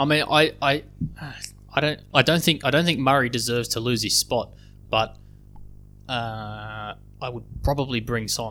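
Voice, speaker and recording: A man with an Australian accent talks at a moderate pace in a bright, sharp tone, his medium pitch showing ordinary variation, with long, frequent pauses and big swings in loudness. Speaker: football fan podcast co-host. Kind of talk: casual chat.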